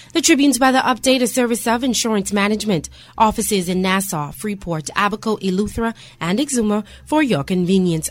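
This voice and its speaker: A woman with an unremarkable speaking voice talks at a fairly quick pace and fairly high pitch, her intonation lively. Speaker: radio newsreader. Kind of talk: news reading, brisk and polished broadcast bulletin with ad-style promos. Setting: studio. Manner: formal, crisp, steady and even-paced.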